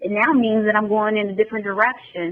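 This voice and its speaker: An energetic tone over noticeable background noise. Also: woman. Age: 40s. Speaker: guest sharing personal transformation. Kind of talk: testimony.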